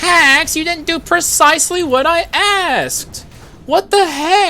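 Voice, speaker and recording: The speaker puts on a character voice at an extremely high pitch. The delivery runs at a fairly slow pace. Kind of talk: funny voice. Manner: nerdy, pedantic, complaining.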